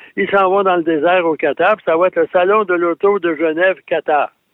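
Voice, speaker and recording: A man with a Quebec accent and a high pitch speaks at a moderate pace. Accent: Québécois French. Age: 70s. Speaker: automotive journalist. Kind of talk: radio segment chat.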